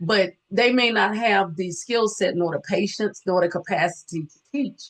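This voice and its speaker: A woman speaks at a medium pitch. It is an ordinary speaking voice. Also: ordinary pitch variation, moderate pace. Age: 60s. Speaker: nurse and student loan advisor. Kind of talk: interview. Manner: conversational, many fillers.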